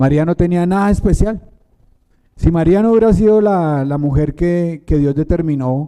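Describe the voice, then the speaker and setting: A man's fairly high voice with a dark, mellow tone, at a moderate pace and with ordinary pitch variation. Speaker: preacher. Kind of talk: sermon.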